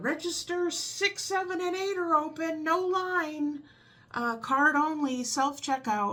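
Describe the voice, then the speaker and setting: A woman puts on a character voice with an extremely high pitch and a fairly slow pace. The recording is very clean, with a silent background. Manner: loud, commanding.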